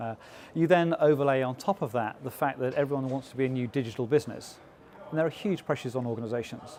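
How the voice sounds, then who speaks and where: A man with an English accent talks at a very fast pace in a medium pitch. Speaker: business executive. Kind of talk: interview. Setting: conference event. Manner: frequent filler 'uh'.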